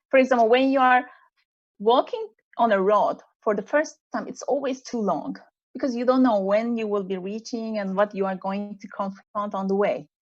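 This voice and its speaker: A woman with a Turkish accent, fairly high in pitch, at a moderate pace with ordinary pitch variation, over a quiet background. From Turkey. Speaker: executive coach. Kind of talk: online panel interview.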